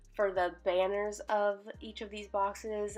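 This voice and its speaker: A woman speaks at a very slow pace with fairly even intonation and a medium pitch. Music plays in the background. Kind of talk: casual voiceover for a journaling video.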